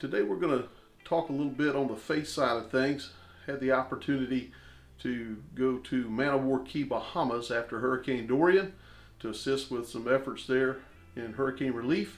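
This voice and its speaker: In a plain, everyday voice, a man speaks with fairly even intonation. He holds a medium pitch at a moderate pace. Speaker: farm channel host. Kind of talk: intro to camera.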